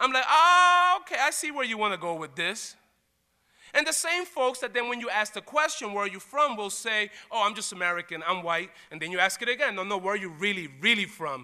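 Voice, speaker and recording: A man with a New York accent uses a raised, projected voice, high in pitch, bright and sharp in tone. His delivery is animated and fairly quick, with very wide pitch swings. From Puerto Rico and New York. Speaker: college diversity dean. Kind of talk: lecture.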